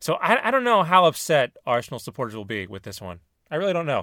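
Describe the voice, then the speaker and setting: Speech comes at a very fast pace with vocal fry and very wide pitch swings, on a very clean recording with a silent background. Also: man. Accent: General American. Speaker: podcast host. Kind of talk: casual banter.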